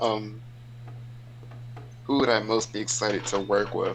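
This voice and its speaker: A man's medium-pitched, monotone, flat delivery over noticeable background noise. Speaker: online roleplay wrestling participant. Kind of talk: casual podcast interview. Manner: loud.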